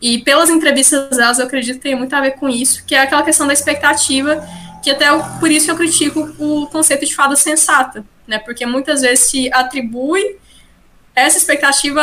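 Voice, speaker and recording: Using a raised, projected voice, a woman speaks at a fairly quick pace in a high pitch, with fairly even intonation. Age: 20s. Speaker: social sciences student and parliamentary aide. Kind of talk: podcast interview. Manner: hesitant, many filler sounds.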